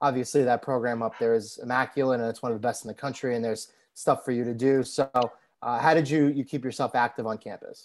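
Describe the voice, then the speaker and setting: A man with a New York accent talks at a very fast pace in a flat monotone, his pitch medium. The recording is very clean with a silent background. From New York City, Staten Island. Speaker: podcast co-host. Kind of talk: casual interview chat.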